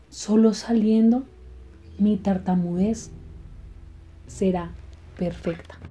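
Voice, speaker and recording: Long, frequent pauses break up a woman's very slow speech. Her voice is somewhat breathy, dark and mellow, with fairly even intonation. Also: medium pitch for a woman. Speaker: podcast host, stuttering advocate. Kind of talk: personal storytelling monologue. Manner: halting.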